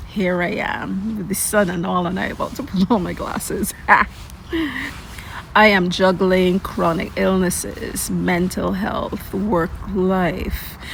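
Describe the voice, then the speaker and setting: A woman speaks at a very slow pace in a medium pitch with monotone, flat intonation. Noticeable background noise is present. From Caribbean. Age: 50s. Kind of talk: personal story told to camera.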